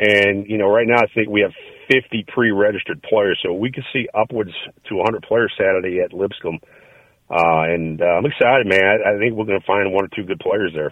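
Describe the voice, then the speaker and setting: At a fairly quick pace, a man with a fairly low pitch talks in an ordinary speaking voice. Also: ordinary pitch variation. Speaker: indoor football team executive. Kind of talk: interview.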